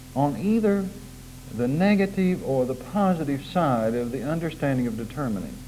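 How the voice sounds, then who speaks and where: Amid noticeable background noise, a man speaks at a moderate pace. His fairly high pitch moves in very wide swings. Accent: American. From Oklahoma. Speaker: preacher. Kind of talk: sermon.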